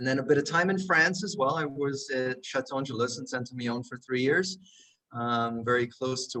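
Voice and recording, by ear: A man speaks at a medium pitch and a moderate pace. His tone is fairly bright.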